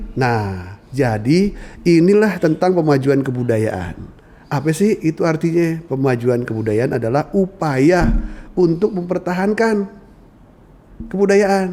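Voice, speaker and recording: Talking with a Jakarta accent, a man uses a fairly high pitch and lively intonation at a very slow pace. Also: very even loudness. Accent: central Betawi dialect, with 'e' endings. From central Betawi, Jakarta. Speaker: Betawi culture expert. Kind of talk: podcast conversation. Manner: casual, colloquial.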